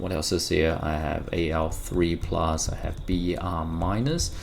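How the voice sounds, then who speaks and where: A man speaks with a non-native accent, his pitch swinging very widely. Noticeable background noise and audible room echo surround him. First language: not English. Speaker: chemistry teacher. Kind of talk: tutorial. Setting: recording at home during lockdown. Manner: spontaneous, conversational.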